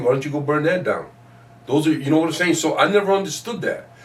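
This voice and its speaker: A man's voice, fairly high in pitch and varying in pitch in an ordinary way, comes through noticeable background noise. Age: 60s. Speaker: community elder and chess teacher. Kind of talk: interview. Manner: animated.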